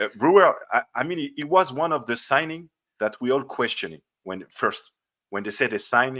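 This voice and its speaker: A man with a French accent speaks in a bright, sharp tone at a fairly high pitch. His intonation is lively and his pace is moderate. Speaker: football podcast host. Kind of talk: interview. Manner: halting.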